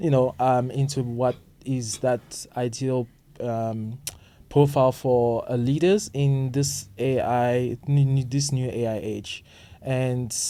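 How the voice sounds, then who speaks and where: This man speaks at medium pitch with fairly even intonation. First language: not English. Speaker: podcast co-host. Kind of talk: casual chat. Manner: halting, many fillers.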